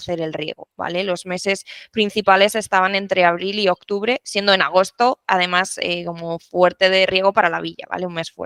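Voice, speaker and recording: Bright and sharp in tone, a woman with a La Mancha accent speaks at a medium pitch and a fairly quick pace with fairly even intonation. The sound is dry and close, with no echo. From La Mancha, Spain. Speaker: renewable energy technical support specialist. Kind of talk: podcast interview.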